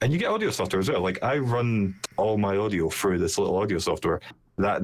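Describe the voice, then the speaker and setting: The man speaks at a very fast pace. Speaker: streamer. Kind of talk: casual chat.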